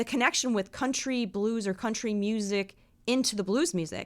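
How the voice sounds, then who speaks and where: A woman with an American accent speaks at a moderate pace in a fairly high voice, her intonation lively. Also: very clean recording, silent background. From Chicago, US Midwest. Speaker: blues musician, slide guitarist. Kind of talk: casual interview chat.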